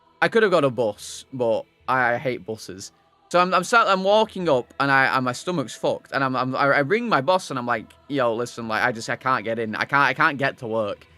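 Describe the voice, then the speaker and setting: Music plays behind a man speaking at a fairly quick pace. His medium-pitched voice has lively intonation. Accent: Lancashire. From northern England, Wigan. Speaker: video game streamer. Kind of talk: casual chat. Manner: halting, many false starts.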